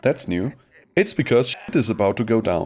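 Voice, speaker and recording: A man is speaking. His pace is fairly quick. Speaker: gaming youtuber. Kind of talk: gameplay commentary. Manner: casual, joking.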